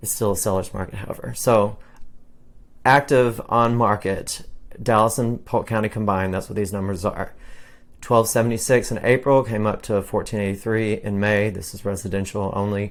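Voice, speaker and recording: Recorded very cleanly over a silent background, a man with an unremarkable speaking voice talks at a moderate pace and a fairly low pitch with fairly even intonation. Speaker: realtor. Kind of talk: market update monologue.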